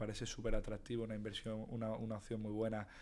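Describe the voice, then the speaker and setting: A man at a very fast pace. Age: 20s. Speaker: investor. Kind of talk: interview.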